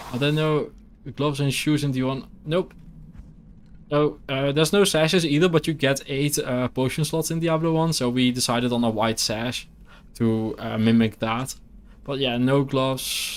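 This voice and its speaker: With a Dutch accent, a man talks at a moderate pace in a fairly high pitch with ordinary pitch variation. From Netherlands, near Belgian border. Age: 30s. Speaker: video game streamer. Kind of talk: casual gameplay live stream chat.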